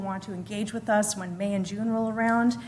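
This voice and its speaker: A woman talks at a very fast pace in a medium pitch. Audible room echo surrounds her voice. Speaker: community organization representative. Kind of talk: presentation to council.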